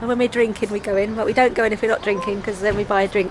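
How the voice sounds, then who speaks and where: A woman at a fairly quick pace, ordinary pitch variation, noticeable background noise behind her. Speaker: vlogger. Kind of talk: casual vlog chat. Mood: cheerful, joking. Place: street. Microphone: phone near.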